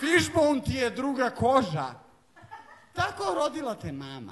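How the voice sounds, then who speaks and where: A man speaks with very wide pitch swings. Noticeable background noise runs underneath. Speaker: slam poet. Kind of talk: live poetry slam performance.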